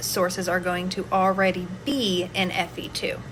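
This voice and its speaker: A woman talks at a medium pitch, and audible room echo trails her words. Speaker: nutrition and mental health educator. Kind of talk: educational monologue. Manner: casual.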